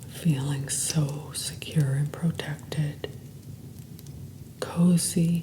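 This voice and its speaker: A woman speaks very slowly in a very deep, low pitch with monotone, flat intonation and long, frequent pauses over noticeable background noise. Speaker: hypnotherapist and meditation guide. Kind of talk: guided meditation. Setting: background sounds.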